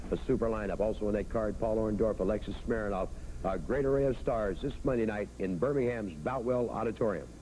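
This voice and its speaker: A man's fairly low voice has a dark, mellow tone and vocal fry. He talks at a fairly quick pace with ordinary pitch variation and very even loudness. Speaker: wrestling TV host. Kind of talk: wrestling TV broadcast hosting.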